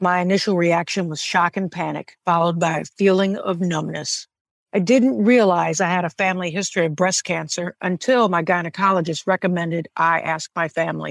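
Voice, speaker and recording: A woman's plain, everyday voice, fairly low in pitch with ordinary pitch variation and hardly any pauses, in a dry, close sound with no echo against a quiet background. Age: 50s. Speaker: cancer patient. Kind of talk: testimony.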